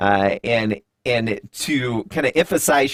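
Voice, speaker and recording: In an American accent, a man speaks with ordinary pitch variation in a dry, close sound with no echo. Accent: Southern US drawl, comes out at times. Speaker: live stream host. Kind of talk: live interview. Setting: live stream studio. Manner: hesitant, many fillers.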